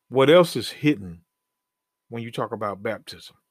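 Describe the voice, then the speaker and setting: A man is heard here. His pitch moves in very wide swings. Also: very clean recording, silent background. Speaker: bible teacher, podcast host. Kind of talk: bible teaching sermon. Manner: halting when reading scripture.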